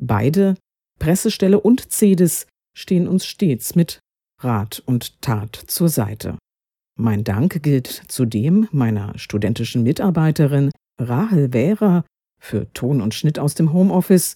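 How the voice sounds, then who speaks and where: On a very clean recording with a silent background and a dry, close sound with no echo, a woman with a very deep, low pitch and a dark, mellow tone speaks very slowly, her pitch swinging very widely. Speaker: professor and podcast host. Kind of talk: scripted academic moderation. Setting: home office recording. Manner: formal.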